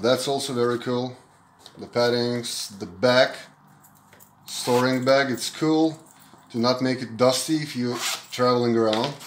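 A man speaks in a medium pitch at a fairly slow pace, with fairly even intonation. His long, frequent pauses carry audible room echo.

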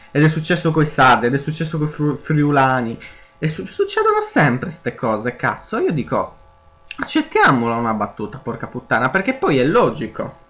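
A man with a fairly high pitch talks fairly quickly while music plays behind him. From Sardinia, Italy. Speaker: gaming youtuber. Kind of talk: let's play commentary.

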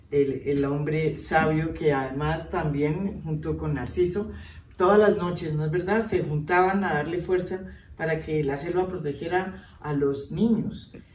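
A woman's low voice with a slightly mellow tone, fairly even intonation and few pauses, plus audible room echo. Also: fairly slow pace.

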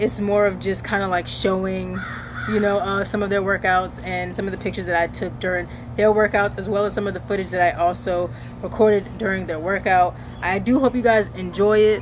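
A woman speaking at a fairly quick pace over noticeable background noise. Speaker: content creator. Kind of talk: casual vlog chat. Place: garden.

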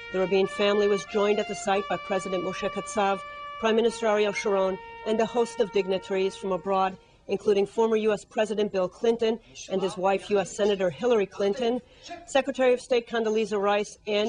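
A woman at a medium pitch and a fairly quick pace, fairly even in intonation, with music in the background. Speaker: news anchor. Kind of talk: news reading.

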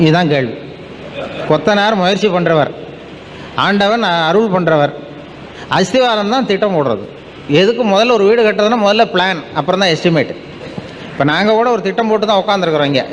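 Against noticeable background noise, a man with a high pitch keeps his loudness very even and his pitch variation ordinary. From Tamil Nadu, India. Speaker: public speaker. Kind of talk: public speech to an audience. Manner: humorous storytelling, colloquial.

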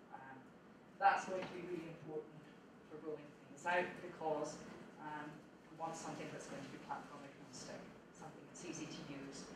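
A woman talks at a moderate pace, leaving long, frequent pauses. Audible room echo and noticeable background noise fill the recording. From Scotland. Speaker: supercomputing centre director. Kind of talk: conference talk. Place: classroom.

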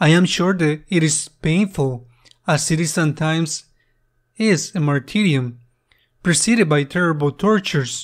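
Recorded very cleanly against a silent background, a man with a Spanish accent speaks at a fairly high pitch, with ordinary pitch variation and very even loudness. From Spain. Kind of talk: homily at Mass, earnest preaching. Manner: earnest, slow and deliberate; reflective, repeats questions for emphasis.

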